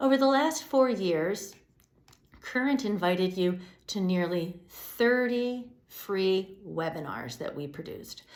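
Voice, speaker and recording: A woman with an American accent speaks at a very slow pace, her pitch swinging very widely. Audible room echo surrounds her voice. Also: medium pitch for a woman. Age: 60s. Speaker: executive director of a public media news outlet. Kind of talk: scripted address to supporters.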